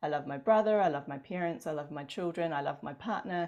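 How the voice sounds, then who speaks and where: Speaking at a fairly quick pace with a New Zealand accent, a woman uses a fairly low pitch and ordinary pitch variation. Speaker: podcast host and energy healing teacher. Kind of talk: interview conversation.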